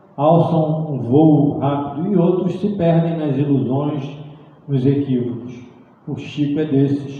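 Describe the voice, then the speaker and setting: With audible room echo, a man speaks very slowly at a fairly high pitch and with fairly even intonation. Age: 60s. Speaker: spiritist lecturer. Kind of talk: lecture. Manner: halting, with frequent repetitions.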